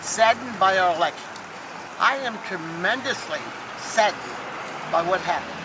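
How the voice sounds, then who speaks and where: A woman speaks over noticeable background noise. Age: 80s+. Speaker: civil rights activist. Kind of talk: speech at a rally.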